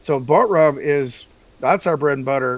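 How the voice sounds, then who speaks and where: A man with a Texan accent, fairly high in pitch, with ordinary pitch variation at a moderate pace. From Texas. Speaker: barbecue seasoning maker. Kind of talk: interview.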